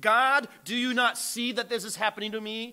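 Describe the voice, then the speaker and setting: A man projects a raised voice at an extremely high pitch, keeping a moderate pace and fairly even intonation. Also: quiet background. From Brazil. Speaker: missionary preacher. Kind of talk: sermon. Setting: church. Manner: earnest, preaching with pauses and fillers. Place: church.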